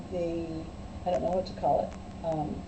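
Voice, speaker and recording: An American accent with audible room echo. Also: woman. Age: 70s. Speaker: church friend. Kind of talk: casual chat; storytelling.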